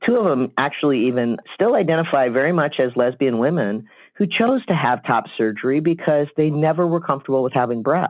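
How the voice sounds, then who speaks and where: With an unremarkable speaking voice, a man talks at a fairly quick pace with hardly any pauses, his pitch fairly high and his loudness very even. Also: lively intonation. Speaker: interviewee sharing coming-out story. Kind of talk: interview.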